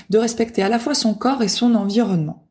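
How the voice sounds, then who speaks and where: A somewhat breathy, dark and mellow voice at a moderate pace. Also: woman. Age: 30s. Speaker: podcast host. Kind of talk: casual monologue. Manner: hesitant, many fillers.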